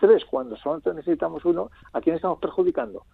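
A man is speaking. His pace is fairly quick. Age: 50s. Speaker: consumer association president. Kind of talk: interview. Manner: hesitant, many fillers.

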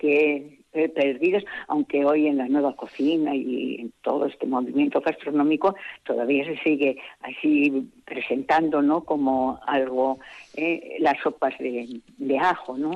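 A woman talks with a very deep, low pitch. Her pace is fairly slow and her intonation fairly even. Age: 70s. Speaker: village festival organiser. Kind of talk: interview. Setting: phone call.

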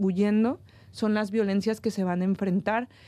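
This woman has a dark, mellow tone and fairly even intonation. She talks at a moderate pace. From northern Mexico. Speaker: researcher on migration. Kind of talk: panel discussion.

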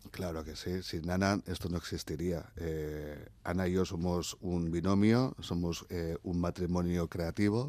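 A man's very deep, low voice with a dark, mellow tone at a fairly slow pace, on a very clean recording with a silent background. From Basque Country (Oñati, Zarautz). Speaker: cultural manager and stage artist. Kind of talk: radio interview.

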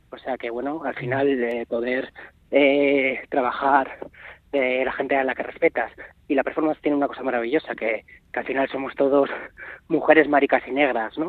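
At a moderate pace, a man speaks at a medium pitch in a flat monotone. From Navarre, Spain. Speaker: performance artist. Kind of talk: interview. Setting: phone call.

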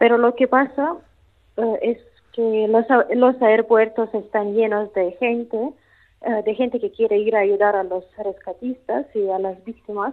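A woman with a Russian accent and a fairly high pitch speaks at a fairly slow pace, keeping her intonation fairly even. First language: Russian (speaking Spanish). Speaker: language teacher. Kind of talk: interview. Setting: phone call. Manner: halting.

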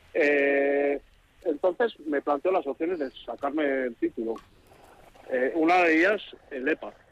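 Recorded with a dry, close sound with no echo but noticeable background noise, a man with a fairly high pitch and ordinary pitch variation speaks at a fairly slow pace, leaving long, frequent pauses. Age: 30s. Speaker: truck driver and adult student. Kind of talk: radio interview.

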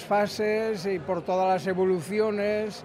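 A man speaks with monotone, flat intonation. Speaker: butcher. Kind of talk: interview.

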